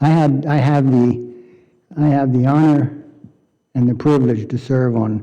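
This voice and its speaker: Fairly slow and with fairly even intonation, a man talks at medium pitch in a dark, mellow tone. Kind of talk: public meeting remarks. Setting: county board meeting. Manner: soft-spoken.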